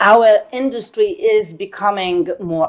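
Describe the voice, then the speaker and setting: A woman with a Polish accent speaks at a very slow pace, her pitch varying in an ordinary way. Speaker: voice actress. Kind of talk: interview. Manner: halting.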